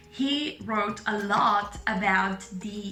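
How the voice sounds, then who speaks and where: A woman speaks at a medium pitch with a slight Italian accent. Music plays in the background, and room echo is audible. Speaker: medical student and vlogger. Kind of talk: casual vlog monologue.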